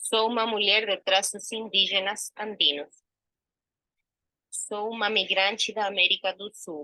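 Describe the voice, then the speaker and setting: Speaking at a fairly slow pace with long, frequent pauses, a woman at medium pitch has a bright, sharp tone, fairly even intonation and big swings in loudness, in a dry, close sound with no echo. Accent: Spanish. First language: Spanish (speaking Portuguese). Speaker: actress and researcher. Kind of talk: self-description presentation.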